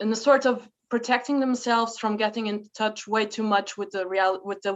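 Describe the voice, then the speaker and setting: Speaking with a German accent, a woman uses a medium pitch and fairly even intonation. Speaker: panel moderator. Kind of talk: panel discussion. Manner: halting.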